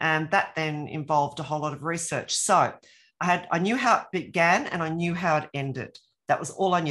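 Fairly quick speech in an Australian accent over a quiet background. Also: woman. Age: 60s. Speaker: author and former academic. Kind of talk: casual interview.

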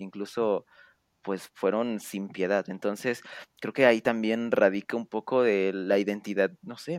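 The man talks fairly slowly in a dry, close sound with no echo, on a very clean recording with a silent background. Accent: Mexican. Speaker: podcast host. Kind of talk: podcast interview. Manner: stuttering, halting.

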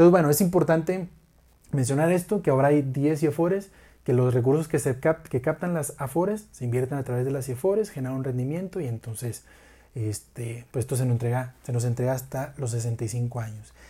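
A man with a Mexican accent speaks at medium pitch and a fairly quick pace. His tone is dark, mellow and somewhat breathy. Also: ordinary pitch variation, very clean recording, silent background. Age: 20s. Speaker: finance podcast host. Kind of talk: educational monologue.

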